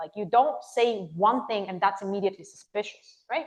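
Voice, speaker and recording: A woman with a fairly high pitch speaks with an American accent. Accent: shifted accent, once sounded Californian. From Bulgaria. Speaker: conference speaker, recruiter. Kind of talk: audience Q&A. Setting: meetup stage with audience.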